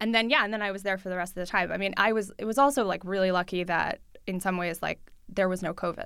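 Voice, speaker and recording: A woman speaks at a very fast pace with a New York accent. Her pitch sits in the medium range, and her intonation stays fairly even. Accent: New York American English. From New York City, Russian-speaking family. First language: Russian. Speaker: journalist. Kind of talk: interview.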